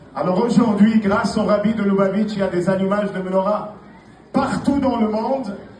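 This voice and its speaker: Against noticeable background noise and audible room echo, a man speaks at a high pitch with fairly even intonation. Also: moderate pace. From Morocco, Casablanca. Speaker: rabbi. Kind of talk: speech at a Hanukkah menorah lighting.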